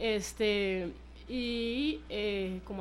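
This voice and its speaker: A woman's voice with audible room echo. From Costa Rica, San Carlos. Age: 20s. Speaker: footballer. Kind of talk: radio interview.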